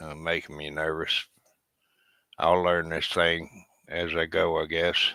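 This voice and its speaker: A man with a very deep, low pitch speaks very slowly in a monotone, flat delivery, leaving long, frequent pauses. His tone is bright and sharp, and his loudness swings widely. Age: 70s. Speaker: veteran YouTuber. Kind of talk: live stream chat. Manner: halting.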